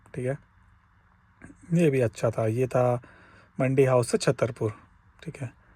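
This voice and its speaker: In a dark, mellow tone, a somewhat breathy man speaks with ordinary pitch variation. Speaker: cab driver vlogger. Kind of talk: casual vlog. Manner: conversational.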